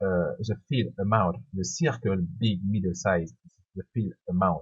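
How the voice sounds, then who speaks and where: At a fairly slow pace, a man speaks with fairly low pitch and vocal fry. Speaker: software tutorial creator. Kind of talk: tutorial. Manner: halting, with hesitations.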